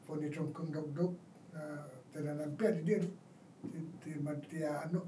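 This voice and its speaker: A man's fairly high voice at a moderate pace, with fairly even intonation and audible room echo. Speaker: war veteran. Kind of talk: oral history interview. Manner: halting.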